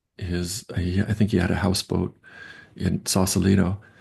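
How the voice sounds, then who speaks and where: A man with an American accent has a fairly low pitch and a dark, mellow tone. His voice is somewhat breathy, and his pace is moderate. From US Northeast, Long Island, New York. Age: 60s. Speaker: professor. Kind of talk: interview. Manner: halting.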